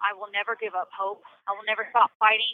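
A woman's medium-pitched, flat monotone at a moderate pace. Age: 30s. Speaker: prison inmate. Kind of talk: interview.

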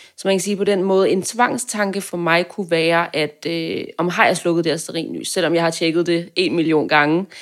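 In a normal speaking voice, a woman with fairly low pitch talks at a moderate pace with fairly even intonation and hardly any pauses. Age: 20s. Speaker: journalism student. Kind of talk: casual interview.

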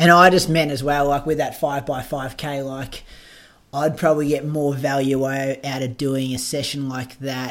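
A man's fairly high voice with an Australian accent, monotone and flat in intonation, at a moderate pace. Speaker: podcast host and runner. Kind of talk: casual chat.

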